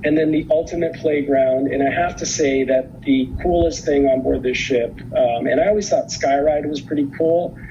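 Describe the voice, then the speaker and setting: The speech moves at a moderate pace with hardly any pauses. Noticeable background noise is present. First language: not English. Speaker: cruise line representative. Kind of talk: conference presentation. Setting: virtual conference video. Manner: hesitant, many fillers.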